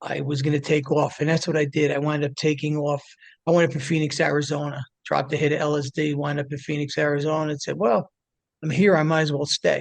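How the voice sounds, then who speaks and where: Very fast, flat, monotone speech from a man with an American accent and a fairly high pitch. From New Jersey, near Manhattan. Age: 60s. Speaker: addiction recovery advocate. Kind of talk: interview storytelling. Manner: casual, filler-heavy.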